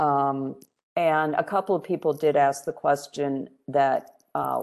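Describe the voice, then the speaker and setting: In a quiet background, a woman speaks with a very deep, low pitch. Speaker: committee chair. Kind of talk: public meeting. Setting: video call.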